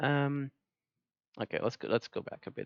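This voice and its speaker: A man with a non-native accent. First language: not English. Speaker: gaming commentator. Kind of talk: video commentary. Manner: halting; animated.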